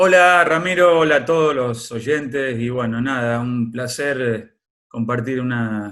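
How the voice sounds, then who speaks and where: Speech unfolds fairly slowly, its pitch varying in an ordinary way. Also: man, medium pitch for a man. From Argentina, Córdoba province. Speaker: former footballer. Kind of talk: interview. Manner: hesitant, many fillers.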